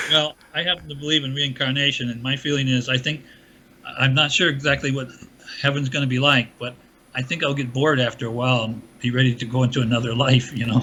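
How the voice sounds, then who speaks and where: Against noticeable background noise, a man at a medium pitch speaks at a very fast pace with fairly even intonation. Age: 80s+. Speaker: engineer and author. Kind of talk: interview.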